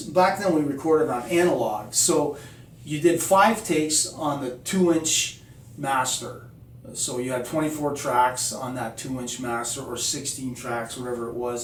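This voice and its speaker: The recording has noticeable background noise and audible room echo. A man speaks at a medium pitch. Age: 60s. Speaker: musician. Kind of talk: casual tutorial. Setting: home studio. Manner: conversational, many fillers.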